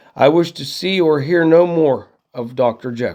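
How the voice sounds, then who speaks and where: In a put-on character voice, a man sounds shaky and fairly high, with ordinary pitch variation, big swings in loudness and a moderate pace. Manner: loud, agitated.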